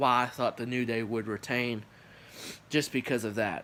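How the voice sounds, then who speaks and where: Here a man talks at medium pitch. His intonation is fairly even. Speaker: wrestling commentary youtuber. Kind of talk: livestream review.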